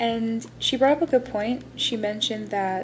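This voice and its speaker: Against noticeable background noise, a woman speaks with a fairly high pitch and ordinary pitch variation. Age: 20s. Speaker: aspiring author and vlogger. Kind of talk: casual vlog talk. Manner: stuttering, halting.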